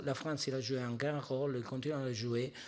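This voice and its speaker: A man with a non-native accent speaks at a moderate pace and a medium pitch. His intonation is fairly even, and the recording is very clean with a silent background. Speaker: pharmaceutical industry executive. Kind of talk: panel discussion. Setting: stage at a conference.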